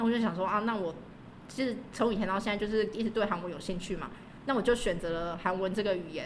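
A woman at a medium pitch, very fast, with ordinary pitch variation, amid audible room echo and noticeable background noise. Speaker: language school receptionist and graduate student. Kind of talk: casual interview.

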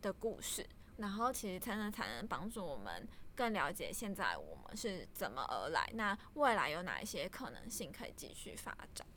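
A woman's voice has a bright, sharp tone and a fairly high pitch. Vocal fry comes through alongside ordinary pitch variation. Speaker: data analyst at a startup, guest interviewer. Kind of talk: interview.

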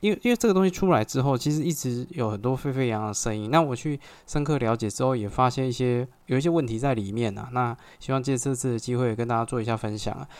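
Ordinary pitch variation in a man's very fast speech. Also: medium pitch for a man. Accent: Taiwanese. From Taiwan, Xinzhuang (New Taipei). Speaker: podcast host, real estate agent. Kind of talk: solo podcast monologue. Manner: hesitant, many filler particles.

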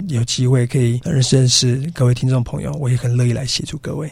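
At a very fast pace, a man talks in a medium pitch with fairly even intonation and a somewhat breathy sound. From Taiwan, Yilan. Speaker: business coach, education founder. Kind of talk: radio interview. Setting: radio studio.

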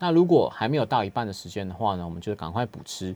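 Speaking at a very fast pace, a man uses a fairly low pitch. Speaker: hospital clinical pharmacist. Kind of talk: radio health interview. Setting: radio studio.

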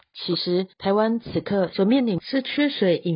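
In a Taiwanese accent, a woman speaks at a fairly slow pace with lively intonation and a somewhat breathy voice. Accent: Taiwanese Mandarin. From Taiwan, Taichung. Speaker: news podcast host. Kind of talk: news reading.

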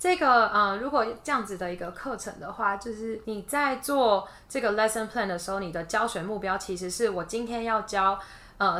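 A woman talks at a moderate pace in a medium pitch with ordinary pitch variation. She has an ordinary speaking voice. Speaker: kindergarten teacher. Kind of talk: casual interview.

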